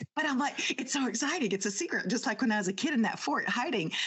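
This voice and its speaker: A woman at a fairly quick pace, with very wide pitch swings and noticeable background noise. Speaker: podcast host. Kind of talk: casual chat. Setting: home office with green screen. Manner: whispering. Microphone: new home podcast equipment.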